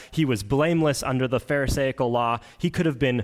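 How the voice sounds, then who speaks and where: With a Canadian Prairie accent, a man speaks with ordinary pitch variation. The recording is very clean, with a silent background. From Manitoba, Canada (Oakbank, rural). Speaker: pastoral candidate, worship leader. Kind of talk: sermon.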